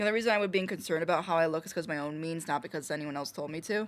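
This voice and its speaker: This woman talks at a very fast pace. The recording is very clean, with a silent background. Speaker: streamer. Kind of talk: casual chat. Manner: casual, filler-heavy.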